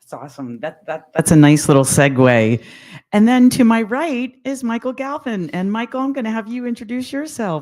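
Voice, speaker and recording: A woman with an American accent and a fairly high voice makes very wide pitch swings and big swings in loudness, captured in a very clean recording with a silent background. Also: moderate pace. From Lehigh Valley, Pennsylvania. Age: 60s. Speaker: panel moderator. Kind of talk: panel discussion. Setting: live panel event, livestreamed.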